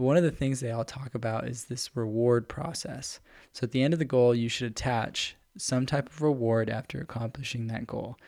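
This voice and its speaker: Heard on a very clean recording with a silent background, a man with a plain, everyday voice talks at a fairly quick pace with fairly even intonation and medium pitch. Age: 20s. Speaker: podcast co-host. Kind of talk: casual chat.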